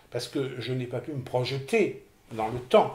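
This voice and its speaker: A man with a somewhat breathy voice talks at a fairly slow pace. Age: 60s. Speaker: person with OCD giving testimony. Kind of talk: testimony interview. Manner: hesitant, repeating words.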